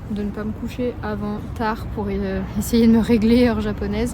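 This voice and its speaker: A woman speaks at a moderate pace. There is audible room echo along with noticeable background noise. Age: 20s. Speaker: travel vlogger. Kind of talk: casual vlog to camera. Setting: outdoors, walking in the street. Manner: whispering.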